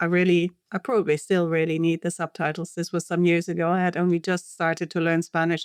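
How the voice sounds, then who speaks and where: The recording is very clean, with a silent background and a dry, close sound with no echo. A woman speaks at a fairly low pitch with a German accent. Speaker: linguistics professor. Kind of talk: interview. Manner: hesitant, many fillers.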